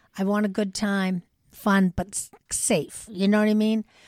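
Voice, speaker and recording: In a very clean recording with a silent background and a dry, close sound with no echo, a woman with an American accent and a normal speaking voice talks at a fairly slow pace and medium pitch. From Massachusetts North Shore (Lynn area). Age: 60s. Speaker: person in 12-step recovery. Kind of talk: casual interview about recovery. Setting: in-person recording.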